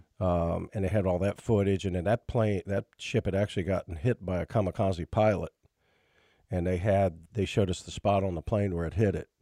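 Delivered at a fairly quick pace with fairly even intonation, the dark, mellow voice has a dry, close sound with no echo in a very clean recording with a silent background. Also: man, very deep, low pitch for a man. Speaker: financial radio show host. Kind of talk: radio talk show, casual chat. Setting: radio studio.

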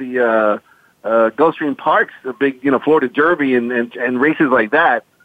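Here a man speaks at a medium pitch. His pace is moderate, with ordinary pitch variation. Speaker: horse racing announcer and handicapper. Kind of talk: casual interview. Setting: phone call.

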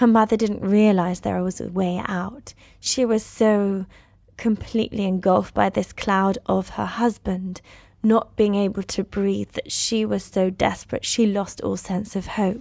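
A woman with a British accent speaks at a fairly slow pace in a medium pitch, her tone dark and mellow and her intonation monotone and flat. The background is quiet. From United Kingdom. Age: 30s. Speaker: actress and screenwriter. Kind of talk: interview.

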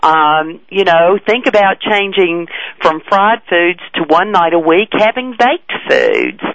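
Noticeable background noise sits behind a woman speaking at a medium pitch with ordinary pitch variation. She keeps a fairly slow pace and very even loudness. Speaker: health commissioner. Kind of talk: interview.

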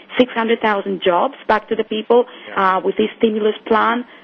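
Through noticeable background noise, a woman speaks at a medium pitch. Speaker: currency market analyst. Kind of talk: radio market commentary. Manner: hesitant, filler-heavy.

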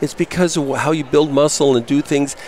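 A man speaks with a fairly high pitch. Background noise is noticeable. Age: 60s. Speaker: health products vendor. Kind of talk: interview. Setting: expo hall booth broadcast.

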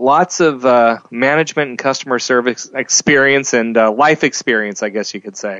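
A man talks in an ordinary speaking voice at a medium pitch and a moderate pace. His pitch variation is ordinary, and he leaves hardly any pauses. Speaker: director of host services at a radio network. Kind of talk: radio interview.

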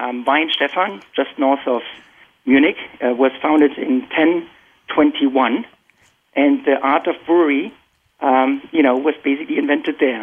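With a German accent, a man of fairly high pitch talks at a fairly slow pace with ordinary pitch variation. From Germany. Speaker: tech industry professional. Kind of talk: panel discussion.

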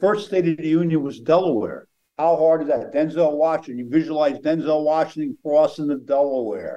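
With an American accent, a man speaks at a fairly quick pace in a fairly high pitch, his tone dark and mellow and his pitch variation ordinary. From Pennsylvania. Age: 70s. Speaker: mentalist and memory expert. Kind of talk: interview. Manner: animated.

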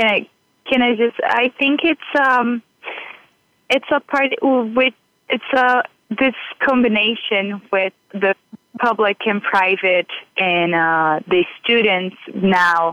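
Very slow and marked by long, frequent pauses, a woman with a Brazilian accent speaks at a fairly high pitch with lively intonation and very even loudness. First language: Portuguese. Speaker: university student, intern.

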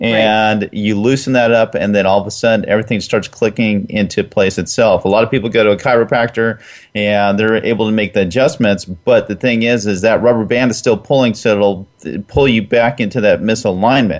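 With a normal speaking voice, a man talks fairly quickly in a fairly low pitch, his intonation fairly even and his speech hardly broken by pauses. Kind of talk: radio host patter: friendly co-host banter, agreeing and supplying cues. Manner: easygoing, supportive, relaxed and genial, with short affirming replies.

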